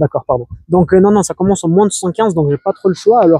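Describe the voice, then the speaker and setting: This man's voice is high in pitch with a dark, mellow tone and ordinary pitch variation. He talks at a fairly quick pace, and the sound is dry and close with no echo. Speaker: competitive arm wrestler. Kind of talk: casual podcast chat. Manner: fast.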